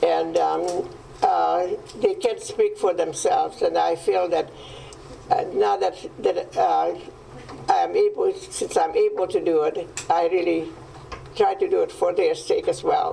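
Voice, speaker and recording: A woman with a Hungarian accent, fairly slow with long, frequent pauses and very even loudness, over noticeable background noise. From Hungary. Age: 90s. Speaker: Holocaust survivor. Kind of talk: testimony. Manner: halting. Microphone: microphone problem.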